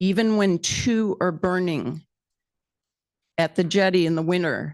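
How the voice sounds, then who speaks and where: Against a quiet background, a woman is talking. She keeps a moderate pace. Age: 60s. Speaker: public commenter. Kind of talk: public comment.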